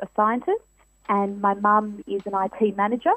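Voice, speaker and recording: Talking at a medium tempo, a woman speaks in an Australian accent. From Western Australia, Perth. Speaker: teacher and children's author. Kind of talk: radio interview.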